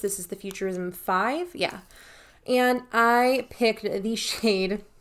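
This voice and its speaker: Mumbled speech with fairly even intonation comes through on a very clean recording with a silent background. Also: woman. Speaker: beauty youtuber. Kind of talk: casual vlog talk to camera. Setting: home filming setup with ring light. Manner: mumbling.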